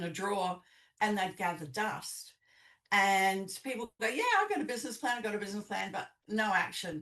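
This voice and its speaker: The voice carries a slight New Zealand accent, with ordinary pitch variation and a moderate pace. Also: woman. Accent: slight New Zealand twang. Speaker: business coach. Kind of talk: podcast interview. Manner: hesitant, many fillers.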